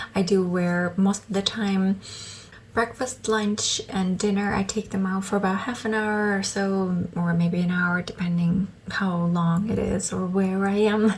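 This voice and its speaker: Against noticeable background noise, a woman speaks at a fairly slow pace in a medium pitch with monotone, flat intonation. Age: 30s. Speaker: vlogger. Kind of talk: casual chat. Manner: hesitant, many fillers.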